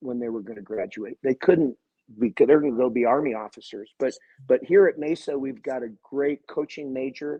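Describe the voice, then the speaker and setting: Moderate-paced speech from a man with a fairly high voice and ordinary pitch variation. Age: 50s. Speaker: college swim coach. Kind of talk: interview. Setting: podcast interview. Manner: halting, many repeated words.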